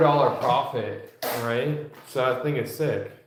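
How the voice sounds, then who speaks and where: In an American accent, a man speaks at a very slow pace with fairly even intonation, and room echo is audible. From Washington state, US. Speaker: sports card seller streamer. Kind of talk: casual live stream chat.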